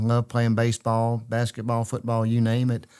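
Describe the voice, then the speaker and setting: A man with a Louisiana accent on a very clean recording with a silent background. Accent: Louisiana Southern US. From Central Louisiana. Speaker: state legislator. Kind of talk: interview conversation. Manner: halting, many fillers.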